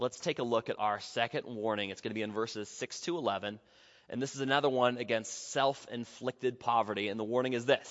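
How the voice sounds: What you hear is a natural reading voice.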